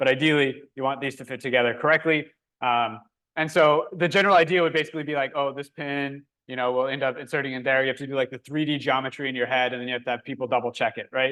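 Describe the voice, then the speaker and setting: A man at a very fast pace, bright and sharp in tone, with fairly even intonation over a quiet background. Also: fairly high pitch for a man. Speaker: workshop instructor. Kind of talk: hands-on tutorial.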